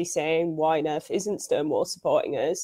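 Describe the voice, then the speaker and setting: A woman speaks in a Scouse accent at a fairly quick pace. The recording is very clean and the background silent. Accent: Scouse-tinged English. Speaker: journalist. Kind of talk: casual interview.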